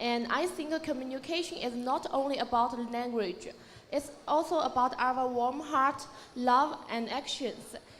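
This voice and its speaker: A woman with a Chinese accent and a high pitch speaks at a fairly slow pace. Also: ordinary pitch variation. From China. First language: Mandarin Chinese. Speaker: beauty pageant contestant. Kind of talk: pageant self-introduction.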